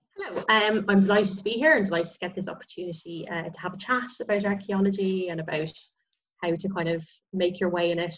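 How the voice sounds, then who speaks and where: Words come out at a very fast pace in a somewhat breathy voice. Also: woman. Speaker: osteologist and heritage consultant. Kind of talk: casual interview.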